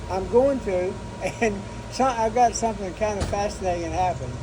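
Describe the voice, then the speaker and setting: A man's high-pitched voice with ordinary pitch variation, audible room echo and noticeable background noise. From Kentucky. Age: 80s+. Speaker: air force veteran. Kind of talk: casual chat. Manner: halting.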